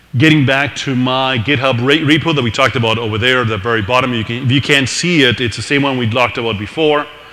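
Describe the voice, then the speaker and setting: Over noticeable background noise, a man talks at a very fast pace with hardly any pauses and a medium pitch. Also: fairly even intonation. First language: not English. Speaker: tech meetup presenter. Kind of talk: technical presentation. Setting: live meetup with audience.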